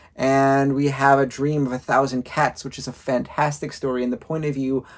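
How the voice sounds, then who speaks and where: At a moderate pace and medium pitch, a man talks in an ordinary speaking voice with fairly even intonation. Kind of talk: casual review talk to camera.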